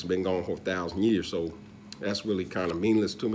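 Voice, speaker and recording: Talking very fast, a man has a dark, mellow tone. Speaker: religious video blogger. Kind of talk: casual monologue. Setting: living room. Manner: loud.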